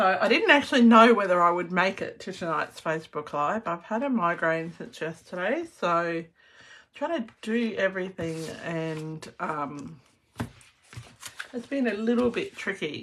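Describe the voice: A woman's raspy, put-on character voice at medium pitch, with lively intonation and a moderate pace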